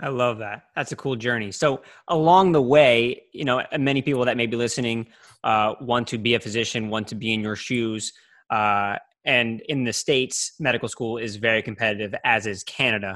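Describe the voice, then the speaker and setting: A plain, everyday voice talks at a moderate pace. The recording is very clean with a silent background. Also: man, medium pitch for a man, ordinary pitch variation. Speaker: podcast host. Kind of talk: interview with ad read.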